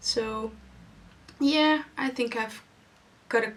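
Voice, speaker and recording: A woman with a Dutch accent speaks with ordinary pitch variation over noticeable background noise. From Netherlands. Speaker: podcast host, knitter and yarn dyer. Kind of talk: casual video podcast monologue. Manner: halting, with pauses and umming.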